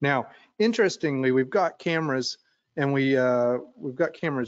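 A man speaks with ordinary pitch variation in a dry sound with no echo, against a quiet background. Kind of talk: lecture. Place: office. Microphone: webcam.

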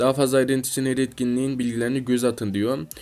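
This is a man speaking. His pitch is medium. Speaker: mobile gaming YouTuber. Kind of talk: gaming news video, partly reading announcements aloud. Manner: animated, hesitant fillers.

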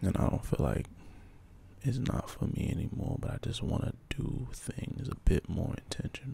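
Here a man is whispering at a fairly slow pace. His tone is relaxed and calm. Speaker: poet, ASMR creator. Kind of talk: ASMR poetry practice, casual talk to camera. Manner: relaxed, calm. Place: home room. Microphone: handheld.

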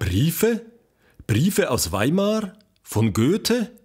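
A man performs a put-on character voice pitched fairly high, with very wide pitch swings and a very slow pace. His tone is slightly mellow with a slightly husky edge.

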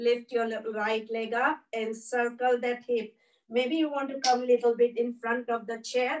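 Calm and soothing, a woman with a fairly high pitch speaks at a fairly slow pace in a flat monotone. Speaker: yoga instructor. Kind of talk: guided chair yoga class with breathing cues. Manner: calm, slow, soothing, cue-by-cue instruction. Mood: calm, soothing. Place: home room. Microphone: camera far.

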